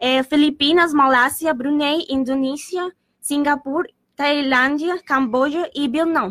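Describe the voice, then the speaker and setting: A woman's high-pitched voice with a Spanish accent, at a fairly slow pace and with ordinary pitch variation. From Colombia, Bogotá. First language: Spanish (speaking Portuguese). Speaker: exchange student. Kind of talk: student presentation on radio. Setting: radio studio. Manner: halting.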